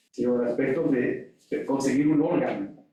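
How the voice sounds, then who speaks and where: In a room with audible echo, a man with a fairly high pitch speaks at a moderate pace. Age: 60s. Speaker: audience member asking a question. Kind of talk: audience question at a lecture.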